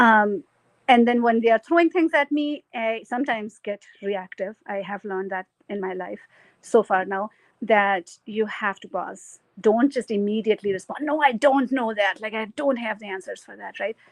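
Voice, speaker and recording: The pace here is moderate. It comes in a plain, everyday voice. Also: woman, fairly high pitch for a woman, ordinary pitch variation, big swings in loudness. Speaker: keynote speaker. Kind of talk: keynote talk.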